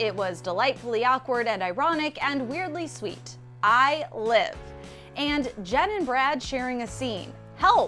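A woman speaks at a fairly slow pace with a high pitch and lively intonation. Music plays in the background. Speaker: entertainment news presenter. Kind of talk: entertainment news narration.

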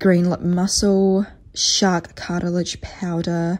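A woman speaks with a fairly low pitch. Noticeable noise sits in the background. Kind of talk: casual vlog chat. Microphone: phone near.

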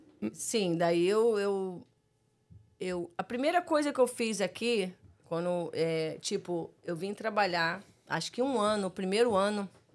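A woman with a plain, everyday voice, medium in pitch, at a fairly slow pace with ordinary pitch variation. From Rio de Janeiro, Brazil. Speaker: guest, artist and house flipper living in New York; guest. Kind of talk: casual interview chat. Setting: studio livestream. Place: studio. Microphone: studio mic.

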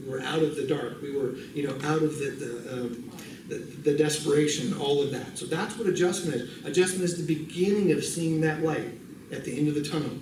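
Speaking fairly quickly with a Californian accent, a man with a fairly high voice uses ordinary pitch variation amid audible room echo and noticeable background noise. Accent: General American (Californian). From US, California. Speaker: bible college missions instructor. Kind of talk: lecture. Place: classroom. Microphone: podium.

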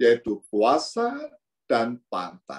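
Against a quiet background, a man speaks at a very slow pace. His pitch swings very widely. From Indonesia (Pringsewu, Lampung); Indonesia. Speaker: priest giving reflection. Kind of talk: sermon. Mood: warm, smiling, humorous. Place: office. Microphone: video call.

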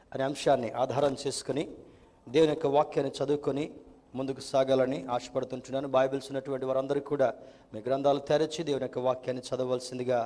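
Medium-pitched male speech, its intonation flat and monotone. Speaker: pastor, church preacher. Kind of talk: church sermon in Telugu, with English terms mixed in. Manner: formal, announcing the sermon topic. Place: church.

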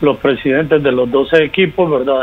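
Ordinary pitch variation in a man's speech. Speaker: remote guest. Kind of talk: interview answer. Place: home room. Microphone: earbuds.

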